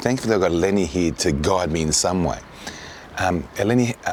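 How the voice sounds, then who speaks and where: With noticeable background noise behind him, a man with a very deep, low pitch talks at a very fast pace using lively intonation. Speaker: travel documentary presenter. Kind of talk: documentary narration; on-location interview.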